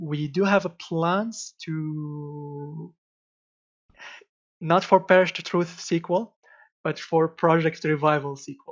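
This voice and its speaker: Speaking at a very slow pace with long, frequent pauses, a man keeps a fairly even intonation while his loudness swings widely. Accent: non-native. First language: not English. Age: 20s. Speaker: game designer. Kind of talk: interview. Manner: halting.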